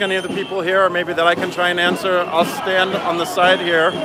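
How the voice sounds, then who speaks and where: A man with a New York accent and a high pitch speaks in a raised, projected voice. Noticeable background noise runs behind him. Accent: New York American. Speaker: street interviewer at a protest. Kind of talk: live street reporting. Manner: halting, many fillers.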